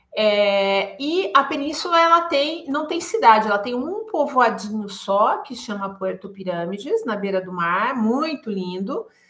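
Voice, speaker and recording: Noticeable background noise sits behind a woman talking with hardly any pauses at a fairly high pitch. Her pitch swings very widely and her loudness shifts a lot. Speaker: travel guide. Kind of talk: live stream talk. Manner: hesitant fillers.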